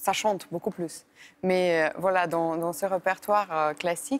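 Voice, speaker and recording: Speaking at a fairly slow pace, a woman with a Bulgarian accent has a fairly low pitch on a very clean recording with a silent background. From Bulgaria, Sofia. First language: Bulgarian (speaking French). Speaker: classical violinist. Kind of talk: interview. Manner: hesitant, many fillers.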